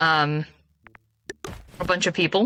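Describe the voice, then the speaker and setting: A woman speaks with a dry, close sound and no echo. Music plays in the background. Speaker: game streamer. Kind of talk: casual chat. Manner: usually quiet.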